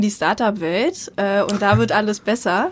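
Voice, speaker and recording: Her voice is an unremarkable speaking voice, a woman talking at a moderate pace in a fairly high pitch. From eastern Germany. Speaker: marketing and network expert, founder of a women's network. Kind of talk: interview.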